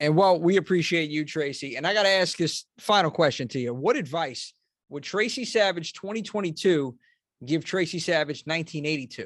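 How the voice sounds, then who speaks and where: Heard against a quiet background, an ordinary speaking voice with an American accent moves at a moderate pace with ordinary pitch variation. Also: man, fairly high pitch for a man. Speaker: horror podcast host. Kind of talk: casual interview chat.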